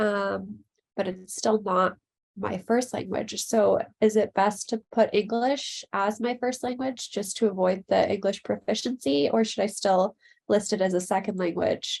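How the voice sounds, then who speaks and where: At a fairly slow pace, a woman speaks at medium pitch with vocal fry and ordinary pitch variation. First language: Slovak. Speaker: prospective graduate student. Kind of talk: Q&A in online info session.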